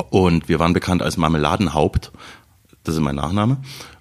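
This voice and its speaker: The man's voice is very deep and low. His pitch varies in an ordinary way. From Saxony, Radebeul near Dresden. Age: 30s. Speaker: TV writer and stand-up comedian. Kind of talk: casual chat.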